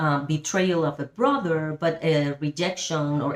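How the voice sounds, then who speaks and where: A woman speaks in a very deep, low pitch with a strong Spanish accent. Her pace is very slow and her intonation fairly even. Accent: big Spanish. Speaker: Bible study teacher. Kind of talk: Bible study teaching. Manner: halting, with fillers.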